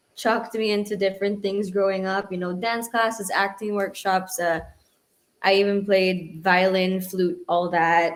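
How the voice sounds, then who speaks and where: A woman at medium pitch, moderate pace and monotone, flat intonation. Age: 20s. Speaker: singer-songwriter. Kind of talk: interview. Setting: livestream. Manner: halting.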